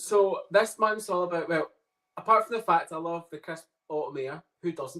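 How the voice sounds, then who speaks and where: A man's high-pitched voice with a Scottish accent and a bright, sharp tone. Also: ordinary pitch variation, moderate pace. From Scotland. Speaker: psychic medium. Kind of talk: casual chat. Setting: podcast interview.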